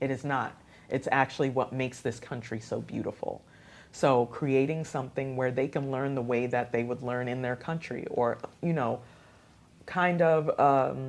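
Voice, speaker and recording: A woman speaks with a Haitian accent at a moderate pace. Her pitch is very deep and low. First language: Haitian Creole. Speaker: radio host and youth program founder. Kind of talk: interview. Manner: animated.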